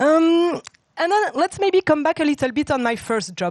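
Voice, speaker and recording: Loud and with lively intonation, a woman speaks in a dry, close sound with no echo. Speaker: tech talk speaker, former consultant. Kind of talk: conference talk. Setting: stage with audience.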